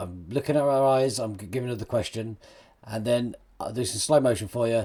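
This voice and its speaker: A man with a British accent, fairly quick pace and ordinary pitch variation. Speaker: magician. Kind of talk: tutorial. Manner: fast; animated.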